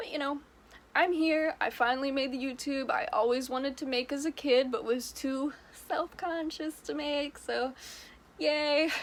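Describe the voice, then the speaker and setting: The speaker is a woman with a high pitch. She moves at a moderate pace with ordinary pitch variation. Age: 20s. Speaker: YouTuber. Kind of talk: casual vlog monologue. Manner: animated; loud.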